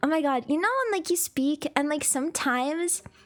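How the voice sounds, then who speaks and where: The woman's pitch is high and her intonation lively, with noticeable background noise present. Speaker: VTuber streamer. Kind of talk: casual chat. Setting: live stream.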